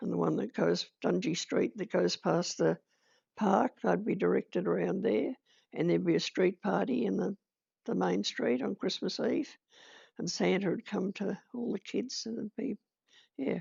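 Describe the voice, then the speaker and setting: This woman speaks at a moderate pace with an Australian accent. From Kaniva, Victoria, Australia. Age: 80s+. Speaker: retired midwife, community leader. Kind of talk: oral history interview answer.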